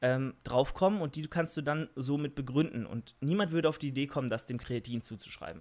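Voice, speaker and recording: With a fairly high pitch, the man's voice rises and falls in an ordinary way. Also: very clean recording, silent background. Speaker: fitness podcaster and YouTuber. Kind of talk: solo monologue podcast with Q&A. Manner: out of breath while talking; hesitant, many fillers.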